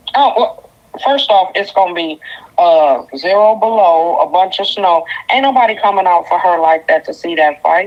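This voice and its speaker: Lively intonation at a moderate pace over noticeable background noise. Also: woman, medium pitch for a woman. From Detroit, Michigan. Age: 50s. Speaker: caller. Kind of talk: call-in opinion. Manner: animated.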